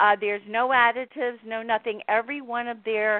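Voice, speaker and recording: At a moderate pace, a woman with an American accent talks in a normal speaking voice pitched fairly high. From Miami, Florida. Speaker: author. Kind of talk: interview about her book.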